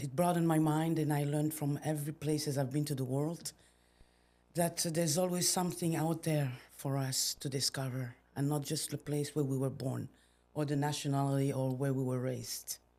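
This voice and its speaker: In a French accent, a woman talks at a moderate pace with a dark, mellow tone, a very deep, low pitch and ordinary pitch variation. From Belgium. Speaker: entrepreneur. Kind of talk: podcast interview. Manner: halting.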